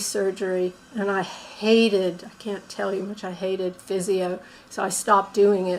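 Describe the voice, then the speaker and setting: Delivered at a moderate pace, the speech has a monotone, flat intonation against noticeable background noise. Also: woman. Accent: American. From United States. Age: 60s. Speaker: tai chi student, former yoga teacher. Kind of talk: interview testimony. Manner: halting.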